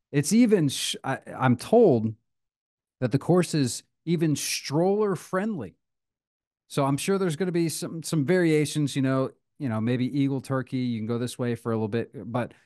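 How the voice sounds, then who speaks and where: Very wide pitch swings run through a man's dark, mellow tone. He keeps a moderate pace against a quiet background. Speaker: podcast co-host. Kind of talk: casual podcast chat. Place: home room. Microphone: studio mic.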